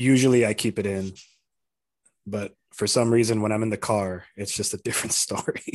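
With an American accent, a man speaks at a fairly quick pace in a flat monotone, with a fairly low pitch. He leaves long, frequent pauses, and the background is quiet. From Arizona, US (Tucson). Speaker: podcast co-host. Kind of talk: casual chat.

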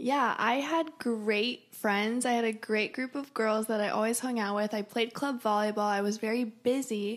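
At a moderate pace and with fairly even intonation, an unremarkable speaking voice comes through on a very clean recording with a silent background. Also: woman. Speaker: college student. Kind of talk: casual chat.

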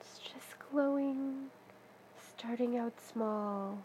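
A woman speaks at a very slow pace with fairly even intonation and a gentle, soothing tone. Noticeable background noise is present. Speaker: meditation guide. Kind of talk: guided meditation. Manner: slow, soft, soothing, calm; gentle pacing with long pauses.

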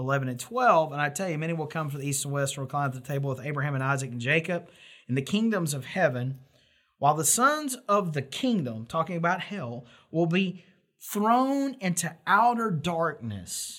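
A man with an unremarkable speaking voice talks at a moderate pace, his pitch fairly high and his intonation lively. The recording is very clean, with a silent background. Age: 40s. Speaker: pastor. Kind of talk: sermon.

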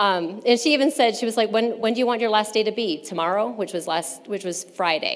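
A woman speaks fairly quickly in an ordinary speaking voice, her pitch fairly high and her intonation lively. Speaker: churchgoer giving testimony. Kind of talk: testimony.

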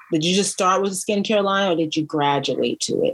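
Against noticeable background noise, a woman speaks at a medium pitch with ordinary pitch variation. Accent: American. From US East Coast, DC area. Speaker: podcast host. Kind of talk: casual chat.

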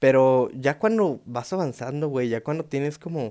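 A man with a Mexican accent speaks with lively intonation. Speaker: stand-up comedian. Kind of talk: stand-up comedy with dark humor. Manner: animated, slangy, irreverent with swearing and sound effects; rambling, self-interrupting, laughing at own jokes.

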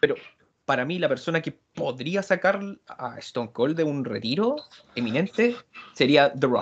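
A man's fairly high voice with very wide pitch swings, a fairly slow pace and long, frequent pauses. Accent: Chilean. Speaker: wrestling podcast panelist. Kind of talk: casual chat.

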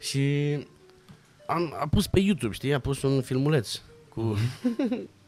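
Over music in the background, a man talks at a very slow pace with lively intonation. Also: fairly high pitch for a man. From Romania, Bucharest. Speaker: actor and stuntman. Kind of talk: casual chat.

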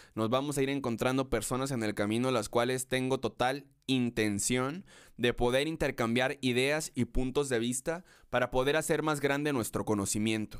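A man with an ordinary speaking voice talks at a moderate pace, with medium pitch, fairly even intonation and very even loudness, on a very clean recording with a silent background. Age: 20s. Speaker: podcast host and concert photographer. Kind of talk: solo podcast introduction monologue.

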